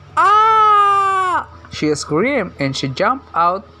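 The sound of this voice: This is an unforced reading voice. It carries the text plainly.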